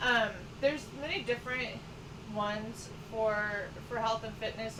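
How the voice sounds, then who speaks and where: With noticeable background noise and audible room echo present, the talking proceeds at a moderate pace. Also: woman. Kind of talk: casual chat. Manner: halting.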